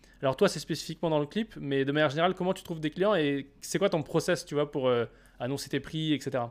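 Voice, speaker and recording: Over a silent background in a very clean recording, a man talks very fast at a fairly high pitch with ordinary pitch variation. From France, Saint-Etienne. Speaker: podcast host, filmmaker. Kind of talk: casual interview chat.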